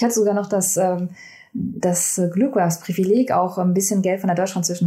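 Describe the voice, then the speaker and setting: Her tone is dark and mellow, somewhat breathy, at a medium pitch with ordinary pitch variation. The woman speaks at a fairly quick pace. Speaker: communication science researcher, PhD. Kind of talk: casual interview. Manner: hesitant, many fillers.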